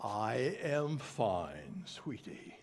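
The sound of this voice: A man puts on a character voice at a medium pitch.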